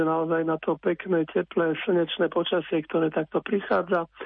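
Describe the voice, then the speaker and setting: A man talks in a high pitch at a moderate pace. His intonation is monotone and flat. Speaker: meteorologist. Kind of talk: radio interview, weather forecast.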